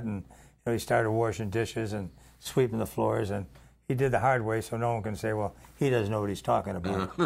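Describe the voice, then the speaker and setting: Speaking at a very fast pace, a man with an American accent keeps a fairly even intonation. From South Side of Chicago. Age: 90. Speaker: PR man and former radio DJ. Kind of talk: casual chat. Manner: halting.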